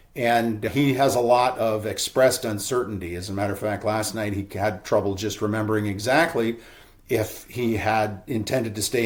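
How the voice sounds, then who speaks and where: An ordinary speaking voice from a man, medium in pitch, at a moderate pace with fairly even intonation. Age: 60s. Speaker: real estate broker. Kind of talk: webinar presentation. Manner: casual, conversational.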